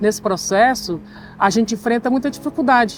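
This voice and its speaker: A woman's voice with ordinary pitch variation. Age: 60s. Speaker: interviewee, communications worker. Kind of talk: interview.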